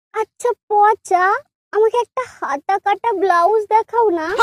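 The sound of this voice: Using a cartoonish character voice, a woman speaks at an extremely high pitch and a fairly slow pace.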